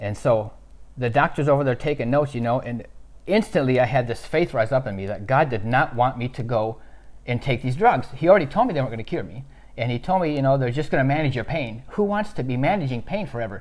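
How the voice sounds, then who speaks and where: At a very fast pace, a man talks at a medium pitch with lively intonation. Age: 60s. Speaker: pastor. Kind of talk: testimony. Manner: halting.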